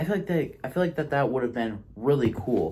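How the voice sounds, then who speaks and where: Somewhat breathy and dark, mellow in tone, a man's medium-pitched voice rises and falls with lively intonation. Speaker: tabletop game master and reviewer. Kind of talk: casual review monologue. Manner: occasional stuttering.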